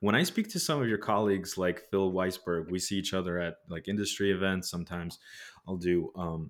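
Very deep and low, the man's voice moves at a fairly quick pace with fairly even intonation. The recording is very clean, with a silent background. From Soviet Union. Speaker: trade news editor and podcast host. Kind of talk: interview.

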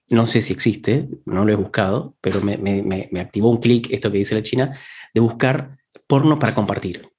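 In a somewhat breathy voice over a quiet background, a man speaks at a moderate pace with a medium pitch and ordinary pitch variation. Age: 30s. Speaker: podcast co-host. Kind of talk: casual chat.

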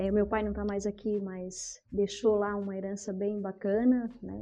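A woman speaks at a moderate pace. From southern Brazil, Criciúma, Santa Catarina. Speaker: businesswoman. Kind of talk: interview, telling her life story.

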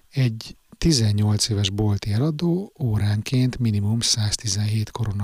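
In a very clean recording with a silent background, a man speaks at a fairly low pitch, somewhat breathy. The sound is dry and close with no echo, and his pitch variation is ordinary. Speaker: podcaster reading own blog. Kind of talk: reading aloud.

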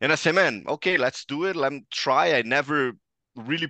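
In a quiet background, a man with a fairly high pitch and a bright, sharp tone uses lively intonation, the sound dry and close with no echo. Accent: Brazilian. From Brazil, Ribeirão Preto (São Paulo state). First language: Portuguese. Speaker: sports journalist and commentator. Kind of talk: casual interview chat. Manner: animated.

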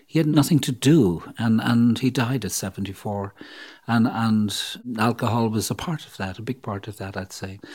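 At a fairly quick pace, a man with an Irish accent speaks at medium pitch in a very clean recording with a silent background. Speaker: psychologist and author. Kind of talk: interview.

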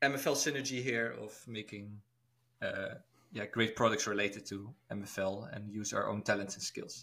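A man talks at a moderate pace. His medium-pitched voice has a bright, sharp tone. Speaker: podcast co-host. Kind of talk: casual chat.

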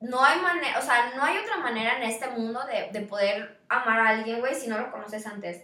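A woman with a high pitch speaks in a Mexican accent at a fairly quick pace, with ordinary pitch variation. Audible room echo and noticeable background noise fill the recording. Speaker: podcast co-host, university student. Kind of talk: casual chat.

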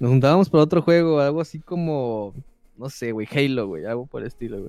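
A man speaks at a fairly quick pace in a fairly high voice, his tone dark and mellow, with ordinary pitch variation. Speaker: podcast co-host. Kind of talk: casual chat.

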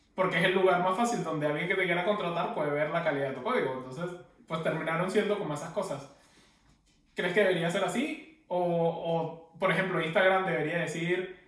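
A man with a high pitch speaks at a fairly quick pace with fairly even intonation, and audible room echo surrounds him. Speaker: podcast co-host. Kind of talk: casual chat.

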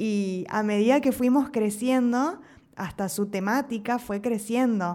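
With an Argentine accent, a woman speaks at a fairly high pitch and fairly slow pace, showing ordinary pitch variation on a very clean recording with a silent background. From Argentina. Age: 30s. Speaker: podcast co-host. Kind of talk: casual chat.

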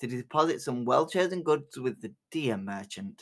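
On a very clean recording with a silent background, a man speaks at a moderate pace with lively intonation. His tone is bright and sharp, yet also warm. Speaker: storyteller podcast host. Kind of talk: folk tale narration read aloud from a book, in a cozy fireside storyteller style. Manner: measured, storytelling cadence, warm and inviting.

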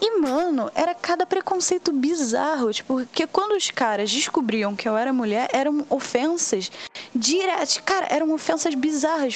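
Pitch swings very widely at a moderate pace, with noticeable background noise behind the voice. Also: woman. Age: 20s. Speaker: cosplayer and history student. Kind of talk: casual chat.

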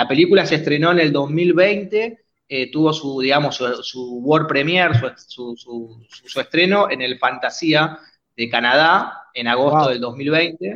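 A man with a fairly high pitch speaks at a fairly slow pace with ordinary pitch variation. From Argentina, Buenos Aires area (San Justo). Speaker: filmmaker. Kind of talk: interview. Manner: halting, many repetitions.

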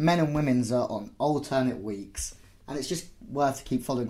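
This is an ordinary speaking voice at a moderate pace. Its pitch varies in an ordinary way. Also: man. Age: 30s. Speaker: podcast host and volleyball coach. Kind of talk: casual chat.

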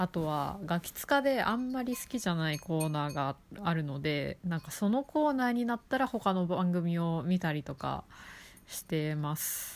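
This woman talks at a moderate pace while her pitch swings very widely. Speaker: podcast host. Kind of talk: casual solo talk. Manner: chatty, casual.

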